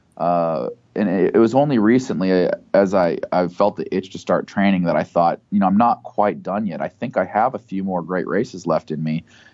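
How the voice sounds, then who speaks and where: In an ordinary speaking voice, a man talks fairly quickly at a fairly low pitch with ordinary pitch variation. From United States. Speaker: professional middle-distance runner and entrepreneur. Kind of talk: interview. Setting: phone call.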